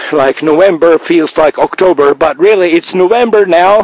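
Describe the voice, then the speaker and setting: Noticeable background noise sits behind a man with a high pitch. He talks at a fairly slow pace with ordinary pitch variation. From Finland. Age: 50s. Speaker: video blogger. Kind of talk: video monologue. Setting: outdoors. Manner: halting.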